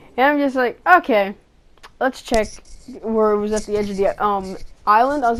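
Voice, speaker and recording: An ordinary speaking voice from a woman, fairly high in pitch with ordinary pitch variation, at a moderate pace in a very clean recording with a silent background. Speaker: gaming YouTuber. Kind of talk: gameplay voiceover commentary.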